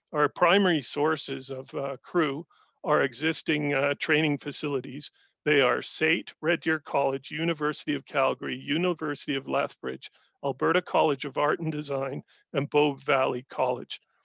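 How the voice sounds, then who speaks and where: A man speaks at a moderate pace and a fairly high pitch, his tone bright and sharp with vocal fry and his intonation monotone and flat. The sound is dry and close with no echo, over a quiet background. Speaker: union or industry representative. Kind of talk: industry update presentation.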